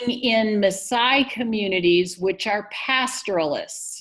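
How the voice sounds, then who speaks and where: The speech moves at a very slow pace. The voice is somewhat breathy. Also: woman. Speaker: physician and health project director. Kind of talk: guest presentation.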